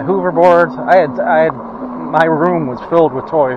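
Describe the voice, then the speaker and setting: A man with a fairly high pitch talks at a moderate pace. Noticeable background noise runs behind him. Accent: American. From US Northeast (Rochester, New York). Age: 60s. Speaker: vlogger with COPD. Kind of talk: casual vlog monologue. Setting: outdoors riding an e-bike. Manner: rambling, hesitant with many fillers.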